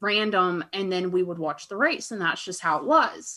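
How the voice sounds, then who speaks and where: A woman with an American accent and a bright, sharp tone, ordinary pitch variation, on a very clean recording with a silent background. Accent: Southern US, comes and goes. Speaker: fellow podcaster, guest. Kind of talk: casual chat.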